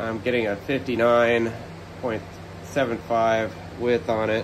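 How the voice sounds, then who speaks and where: A man speaks while background noise is clearly audible. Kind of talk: casual narration while working. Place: garage. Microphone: phone near.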